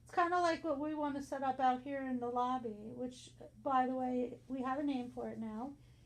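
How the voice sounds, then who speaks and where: Her voice is high-pitched, and the woman keeps fairly even intonation at a moderate pace. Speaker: community radio host. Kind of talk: radio interview. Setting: studio.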